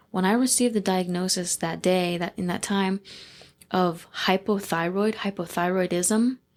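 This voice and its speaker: Delivered at a moderate pace, this is a normal speaking voice on a very clean recording with a silent background. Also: woman, medium pitch for a woman, fairly even intonation. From Dayton, Ohio, USA. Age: 20s. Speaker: funeral director and embalmer apprentice. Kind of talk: podcast interview answer.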